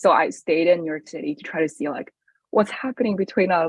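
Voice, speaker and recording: Speaking with a Chinese accent, a woman talks at a fairly quick pace with a medium pitch and lively intonation. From China. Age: 20s. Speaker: college student. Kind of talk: podcast interview. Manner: casual with frequent fillers.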